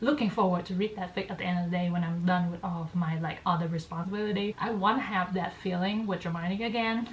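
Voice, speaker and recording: With a Vietnamese accent, a woman speaks fairly quickly at a medium pitch with ordinary pitch variation, over noticeable background noise. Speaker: book youtuber. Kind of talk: casual chat. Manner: casual, filler-heavy.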